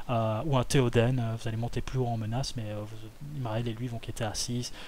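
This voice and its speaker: A man's voice at a medium pitch. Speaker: card game content creator. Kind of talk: tutorial. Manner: hesitant, many fillers.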